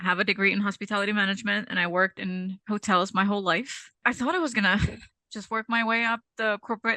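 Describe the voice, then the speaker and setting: The speaker's tone is bright and sharp, with fairly even intonation and a fairly quick pace. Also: woman. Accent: Czech. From Czech Republic, Prague. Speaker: cleaning business owner. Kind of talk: interview.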